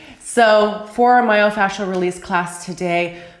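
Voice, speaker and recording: A woman speaks at a medium pitch with ordinary pitch variation. Room echo and noticeable background noise are both present. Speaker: yoga instructor. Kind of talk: tutorial. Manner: casual.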